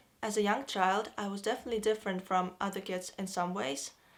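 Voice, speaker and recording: A woman with a Russian accent at a fairly quick pace, fairly even in intonation, on a very clean recording with a silent background. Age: 20s. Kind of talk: casual talk to camera.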